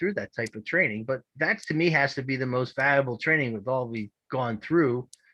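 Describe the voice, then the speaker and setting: A man with a Philadelphia accent and a fairly high pitch, bright and sharp in tone, at a fairly quick pace, in a dry, close sound with no echo and a quiet background. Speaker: public meeting participant. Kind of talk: public comment. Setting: video call.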